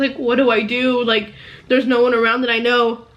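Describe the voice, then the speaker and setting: A woman speaks at a high pitch. Noticeable background noise can be heard. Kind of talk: casual talk to camera.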